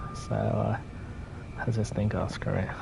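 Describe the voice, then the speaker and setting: Soft-spoken and quick, a man with a British accent talks over noticeable background noise. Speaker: gaming streamer. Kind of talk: live game commentary. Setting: live stream from home at night. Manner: halting.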